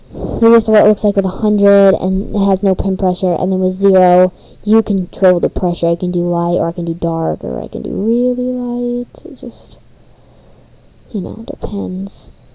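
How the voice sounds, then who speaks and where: A woman speaks at a moderate pace with a medium pitch. Her intonation stays fairly even over noticeable background noise. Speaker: digital art tutorial maker. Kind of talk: casual screen-recorded software tutorial. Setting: home microphone, close-miked with audible breathing. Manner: casual, hesitant.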